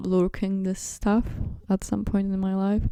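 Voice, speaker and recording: A woman speaks fairly slowly at a medium pitch, her tone dark and mellow. The background is quiet. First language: not English (neither English nor Russian). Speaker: video essayist / fan commentator. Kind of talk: casual monologue. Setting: at home on bed. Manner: rambling, halting with fillers.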